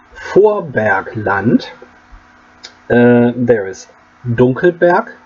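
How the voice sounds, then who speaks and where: With a German accent, a man speaks at a very slow pace and medium pitch, his intonation lively, against noticeable background noise. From Germany. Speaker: game master. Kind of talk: pronunciation tutorial talk to camera. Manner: casual, hesitant.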